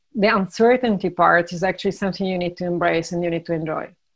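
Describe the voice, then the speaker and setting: A woman at medium pitch and a fairly quick pace, over a quiet background. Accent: Italian. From Italy. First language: Italian. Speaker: startup founder and CEO. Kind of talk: interview. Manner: hesitant, with fillers.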